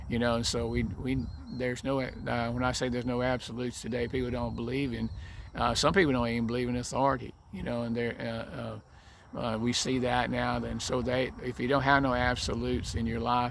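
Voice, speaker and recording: Audible room echo follows fairly quick speech. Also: man. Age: 80s+. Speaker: vlogger, military veteran. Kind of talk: casual faith talk monologue. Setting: outdoors on a deck. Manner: halting, many fillers and restarts.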